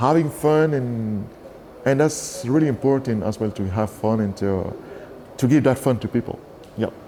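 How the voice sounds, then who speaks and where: A man with a Cameroonian accent at a medium pitch and moderate pace, with ordinary pitch variation, long, frequent pauses, and noticeable background noise. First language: Douala. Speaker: bass player. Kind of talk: interview. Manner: animated; halting.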